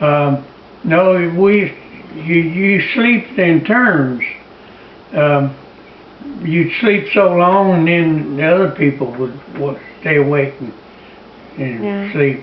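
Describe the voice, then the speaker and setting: A man's fairly high voice with lively intonation, a very slow pace, long and frequent pauses, and noticeable background noise. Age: 80s+. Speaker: war veteran. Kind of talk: interview answer.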